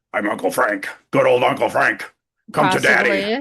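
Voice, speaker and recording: A put-on character voice at a low-to-middle pitch and moderate pace. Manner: hammy, sinister, inviting.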